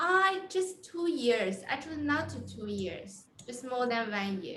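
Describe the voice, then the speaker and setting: A woman speaks very slowly with a non-native accent, her high voice making very wide pitch swings and big swings in loudness. Audible room echo and noticeable background noise sit behind her. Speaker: coding interview coach. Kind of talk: casual chat. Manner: halting.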